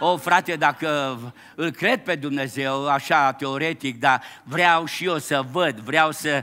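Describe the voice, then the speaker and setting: Faint music plays behind a man who speaks at a very slow pace. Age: 70s. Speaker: pastor. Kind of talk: sermon. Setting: church. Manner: animated. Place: church.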